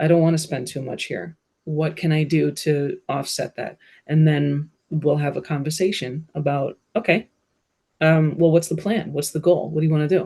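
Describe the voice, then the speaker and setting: Someone speaks with a New Jersey accent at a moderate pace. The tone is dark and mellow, somewhat breathy. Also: woman, very deep, low pitch for a woman. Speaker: bookkeeper and business consultant. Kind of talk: interview conversation. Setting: podcast studio. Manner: animated.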